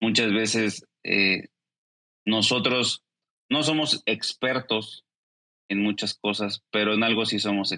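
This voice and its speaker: A man with a fairly low pitch and a bright, sharp tone speaks at a very slow pace, with long, frequent pauses. His intonation is fairly even, his loudness very even, and the sound dry and close with no echo. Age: 30s. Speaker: esports company executive. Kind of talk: interview.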